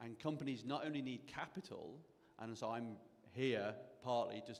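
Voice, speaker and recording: A man speaks at a moderate pace with a British accent, his medium pitch rising and falling in an ordinary way. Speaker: angel investor and mentor. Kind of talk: panel discussion.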